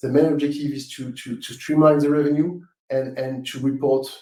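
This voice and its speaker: With a strong French accent, a man talks at a fairly quick pace in a fairly high pitch. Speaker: webinar presenter. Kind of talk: live webinar Q&A. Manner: halting, many fillers and repetitions.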